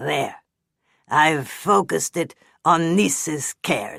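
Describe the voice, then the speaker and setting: A put-on character voice growls at a middle pitch. It moves at a very slow pace. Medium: read story. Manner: chatty, grumbling.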